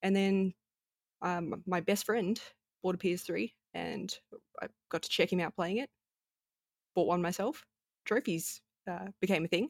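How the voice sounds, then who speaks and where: A woman with an Australian accent speaks at a moderate pace and a medium pitch, with ordinary pitch variation and long, frequent pauses. The recording is very clean, with a silent background and a dry, close sound with no echo. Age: 20s. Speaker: video game streamer. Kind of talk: casual chat.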